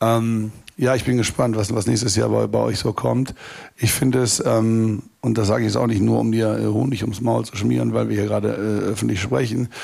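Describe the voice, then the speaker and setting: Moderate pace from a man, noticeable background noise behind him. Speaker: festival promoter. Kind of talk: live panel talk. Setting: stage with audience at a festival.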